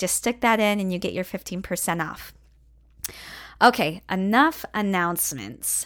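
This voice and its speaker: Lively intonation marks this woman's ordinary speaking voice, pitched at medium and delivered at a moderate pace on a very clean recording with a silent background. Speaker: voice teacher and music therapist. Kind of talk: solo podcast monologue with personal storytelling. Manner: warm, upbeat, chatty.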